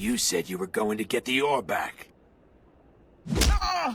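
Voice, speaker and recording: Speaking fairly slowly, a man adopts a put-on character voice at a medium pitch. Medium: video game. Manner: rough, cocky.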